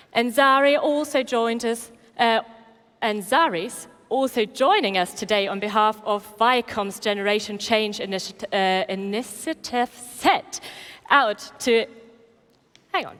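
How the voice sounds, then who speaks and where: Speaking fairly slowly in a German accent, a woman uses a fairly high pitch with ordinary pitch variation. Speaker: event host. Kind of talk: event presenting. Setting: stage with audience.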